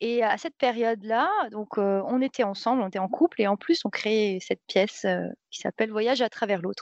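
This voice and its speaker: In an unremarkable speaking voice, a woman talks at a moderate pace with a fairly high pitch and ordinary pitch variation. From France, Seine-et-Marne (Paris region). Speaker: dancer and traveller. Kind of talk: casual interview.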